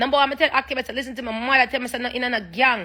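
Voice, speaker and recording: The voice has a bright, sharp tone and a Jamaican accent. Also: woman. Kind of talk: Jamaican Creole-influenced English.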